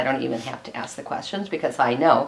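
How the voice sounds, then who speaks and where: A woman speaks with a Midwestern American accent. She keeps a fairly quick pace and lively intonation. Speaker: historical society president. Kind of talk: oral history interview introduction. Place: home room.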